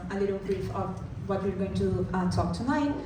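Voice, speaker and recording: Over noticeable background noise and audible room echo, a woman is speaking. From Brazil. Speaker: product designer. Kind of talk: conference talk.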